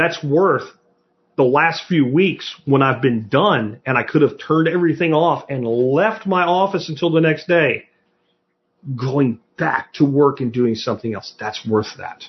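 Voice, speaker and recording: With an American accent, a man speaks at a fairly slow pace and fairly high pitch, his voice somewhat breathy and his intonation lively. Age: 50s. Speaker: podcast host on self-reliance and homesteading. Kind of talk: solo podcast monologue answering listener questions. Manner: animated.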